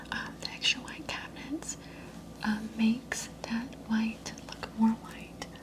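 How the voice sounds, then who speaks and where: A woman whispers at a very slow pace in a calm tone over noticeable background noise. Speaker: ASMR creator. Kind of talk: ASMR roleplay, paint consultation. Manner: soft-spoken, calm.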